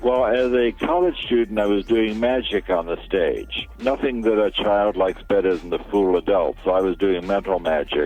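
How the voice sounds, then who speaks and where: With music in the background, a man talks at a moderate pace with very even loudness and hardly any pauses. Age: 70s. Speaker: physicist and author. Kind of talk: interview.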